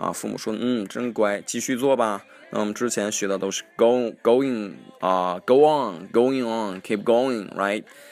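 This man has a medium-pitched voice. His intonation is fairly even. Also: fairly slow pace. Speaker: radio-style podcast host teaching English. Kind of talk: casual English-teaching monologue, mixing Chinese and English. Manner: hesitant, many fillers.

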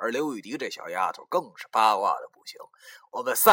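Reading voice without any strain

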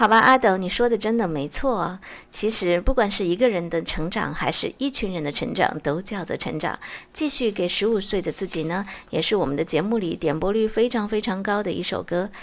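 A woman with an unremarkable speaking voice and medium pitch, at a fairly quick pace with lively intonation. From Sichuan, Zigong. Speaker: radio host. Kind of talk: radio song-request show.

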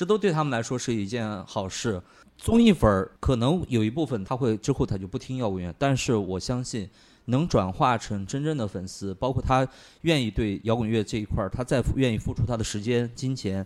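A man with a medium pitch talks at a moderate pace, with ordinary pitch variation, in an unremarkable speaking voice. The recording is very clean, with a silent background. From China, small county town. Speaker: music fan. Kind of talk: casual chat.

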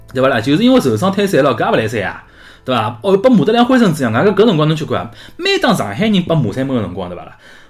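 Over noticeable background noise, a man speaks at a very fast pace in an animated tone, his fairly high pitch swinging very widely. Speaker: podcast host. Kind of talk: casual monologue livestream chat. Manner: halting.

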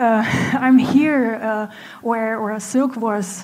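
A woman speaks with a German accent and ordinary pitch variation. Audible room echo surrounds her voice. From Germany. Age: 30s. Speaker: apparel designer. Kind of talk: talk to a live audience. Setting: stage with audience. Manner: halting.

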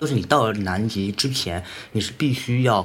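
Speaking at a moderate pace with ordinary pitch variation, a man uses an ordinary speaking voice at a medium pitch. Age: 40s. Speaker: electronic musician. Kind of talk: casual chat.

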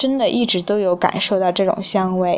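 The woman has an unremarkable speaking voice with ordinary pitch variation. She speaks at a fairly slow pace. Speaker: podcast host. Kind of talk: casual solo travel talk.

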